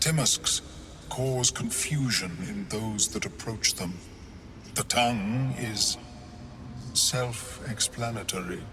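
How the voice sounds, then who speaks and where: A man puts on a character voice at medium pitch, speaking very slowly over clear background noise. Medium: video game. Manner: formal, precise, unhurried.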